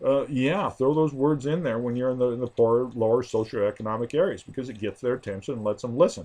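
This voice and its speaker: This man's pitch sits in the medium range. He talks at a very fast pace. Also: ordinary pitch variation. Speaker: political campaign consultant. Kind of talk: tutorial. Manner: hesitant, many fillers.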